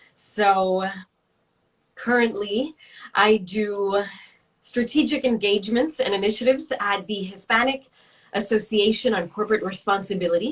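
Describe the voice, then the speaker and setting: At a moderate pace and with an American accent, a woman speaks in a somewhat breathy voice at a medium pitch, with ordinary pitch variation and long, frequent pauses. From New York City. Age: 30s. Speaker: career coach and network founder. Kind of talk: interview.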